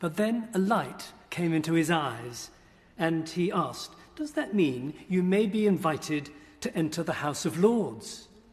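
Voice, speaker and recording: In a high pitch, a man speaks at a fairly slow pace with lively intonation. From southern England. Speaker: bishop. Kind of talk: formal speech. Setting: parliamentary chamber. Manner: formal.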